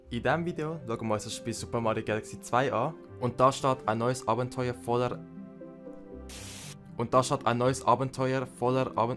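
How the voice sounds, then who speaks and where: With music in the background, a man speaks at medium pitch with a Swiss accent and ordinary pitch variation. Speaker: gaming YouTuber. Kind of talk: let's play game commentary. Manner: excitable, energetic.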